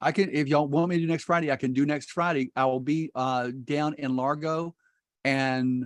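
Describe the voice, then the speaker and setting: Against a quiet background, a man with a fairly high pitch speaks at a moderate pace with fairly even intonation. It is an unremarkable speaking voice, recorded dry and close with no echo. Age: 60s. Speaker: real estate investor. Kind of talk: casual chat. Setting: video call.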